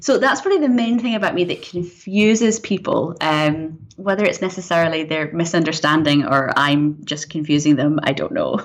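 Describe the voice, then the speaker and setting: Speaking at a moderate pace with hardly any pauses, a woman uses a fairly low voice and lively intonation over noticeable background noise. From Scotland, Glasgow, also raised in US and England. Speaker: screenwriter and director. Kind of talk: interview conversation. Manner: animated.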